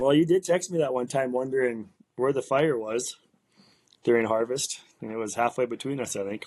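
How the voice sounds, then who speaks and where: A man speaks at a fairly quick pace and medium pitch with ordinary pitch variation. His is a plain, everyday voice. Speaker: farmer and farm video creator. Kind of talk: casual chat.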